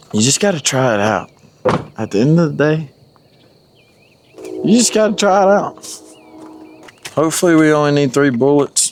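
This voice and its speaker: A man with a fairly high pitch and lively intonation talks at a moderate pace, with long, frequent pauses and noticeable background noise. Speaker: hunting vlogger. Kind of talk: hunting vlog narration. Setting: outdoors.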